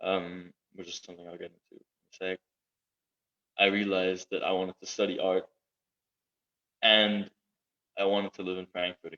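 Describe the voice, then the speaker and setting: Bright, sharp and monotone, the voice moves at a fairly quick pace, broken by long, frequent pauses. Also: man, very deep, low pitch for a man. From Southeast Asia (Brunei). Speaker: art and design student, parkour athlete. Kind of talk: casual interview chat. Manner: halting, many fillers and repeats.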